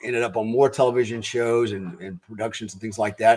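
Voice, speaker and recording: A man with an American accent speaks at a fairly quick pace and medium pitch. He has an unremarkable speaking voice. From grew up in US military family. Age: 60s. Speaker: retired special forces soldier, performance coach. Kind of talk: interview.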